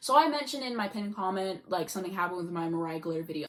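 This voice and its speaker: Medium pitch from a female speaker, set against clear background noise. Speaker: YouTube vlogger. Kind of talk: casual vlog monologue. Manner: fast.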